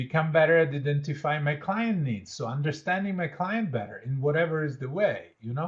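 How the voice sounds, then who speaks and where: With an Italian accent and lively intonation, a man talks at a fairly high pitch with hardly any pauses. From Italy. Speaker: leadership educator and change consultant. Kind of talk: interactive workshop. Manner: conversational, with fillers.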